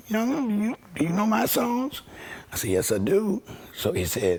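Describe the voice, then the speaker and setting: Speaking at a moderate speed, a man is heard over noticeable background noise. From Washington DC. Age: 60s. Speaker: session guitarist. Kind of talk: interview storytelling.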